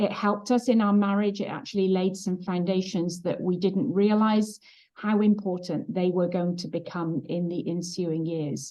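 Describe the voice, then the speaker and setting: A woman in a British accent, medium in pitch, at a moderate pace with hardly any pauses and fairly even intonation. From England. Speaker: trauma healing facilitator and former pastor's wife. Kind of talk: interview testimony.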